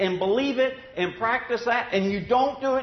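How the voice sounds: A man's extremely high pitch at a moderate pace, with audible room echo.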